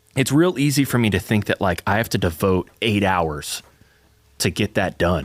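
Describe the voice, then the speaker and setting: This man has a slight Southern US accent and a fairly low pitch. His intonation is lively while his loudness stays very even. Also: dry, close sound with no echo. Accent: slight Southern twang. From US South. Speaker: church podcast co-host. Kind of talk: casual chat.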